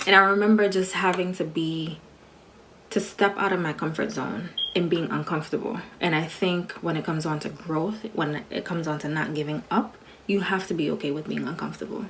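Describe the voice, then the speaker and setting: A soft-spoken woman talks at a fairly quick pace with a fairly low pitch. Her pitch varies in an ordinary way, and there is noticeable background noise. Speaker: registered nurse, motivational vlogger. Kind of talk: personal reflection monologue to camera. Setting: recorded video for social media. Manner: casual, filler-heavy speech.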